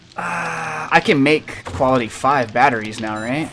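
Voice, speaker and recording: Medium pitch from a man, with noticeable background noise. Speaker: gaming streamer. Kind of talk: live gameplay stream. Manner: slurring.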